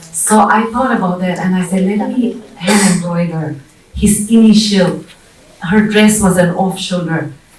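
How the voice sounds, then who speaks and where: Through noticeable background noise and audible room echo, a woman speaks fairly slowly with fairly even intonation. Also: medium pitch for a woman. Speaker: bridal wear designer and entrepreneur. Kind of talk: panel talk. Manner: hesitant, with fillers.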